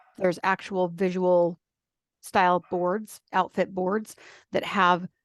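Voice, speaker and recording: Her pitch at a medium level, a woman speaks in a flat monotone, the sound dry and close with no echo. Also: quiet background. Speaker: style coach. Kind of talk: interview. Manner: fast.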